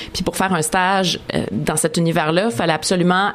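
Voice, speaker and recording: Over noticeable background noise, a woman speaks fairly quickly at a fairly low pitch. Her intonation is fairly even. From Montreal, Quebec (Maisonneuve). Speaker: TV columnist and host. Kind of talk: interview.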